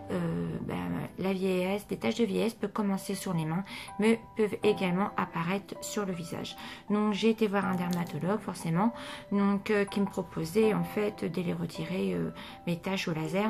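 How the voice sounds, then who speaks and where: Music plays in the background as a woman speaks at a moderate pace. Her voice is medium in pitch, with fairly even intonation. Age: 40s. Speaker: beauty vlogger. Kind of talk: casual beauty tutorial. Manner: hesitant, many fillers.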